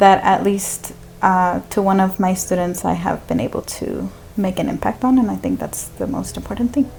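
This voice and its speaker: A woman uses an ordinary speaking voice at a medium pitch with ordinary pitch variation. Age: 20s. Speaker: podcast guest, church catechist. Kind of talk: casual interview chat.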